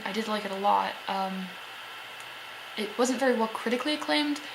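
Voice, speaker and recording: Over noticeable background noise, a woman with a fairly high pitch and ordinary pitch variation speaks at a very fast pace. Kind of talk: casual vlog talk to camera.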